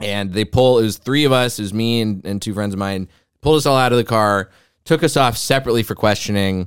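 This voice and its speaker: A man with an American accent, fairly low in pitch, at a very fast pace with ordinary pitch variation, on a very clean recording with a silent background. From US South, Texas. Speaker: comedian. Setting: studio.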